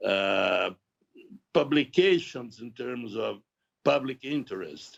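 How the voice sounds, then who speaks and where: A man speaks at a very slow pace. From Brazil, Santos. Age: 80s+. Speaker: author. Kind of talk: interview. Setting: video call. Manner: halting, many fillers and repeats.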